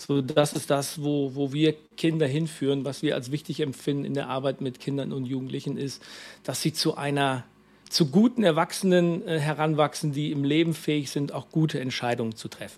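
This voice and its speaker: The recording is very clean, with a silent background. A man talks at a fairly high pitch with fairly even intonation. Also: moderate pace. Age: 40s. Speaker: youth mission worker. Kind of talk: interview. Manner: halting, many fillers.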